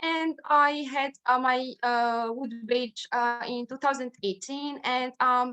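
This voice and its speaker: A woman speaks very slowly in a high, bright and sharp voice, her intonation fairly even. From Tunisia. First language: Arabic (Tunisian). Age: 20s. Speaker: scout youth representative and law student. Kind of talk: online presentation. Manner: halting with many fillers.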